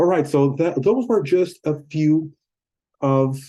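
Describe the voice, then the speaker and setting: A man with a Portuguese accent speaks at a fairly slow pace. His tone is dark and mellow, with ordinary pitch variation. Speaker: YouTuber and English teacher. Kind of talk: casual talk to camera. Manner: halting.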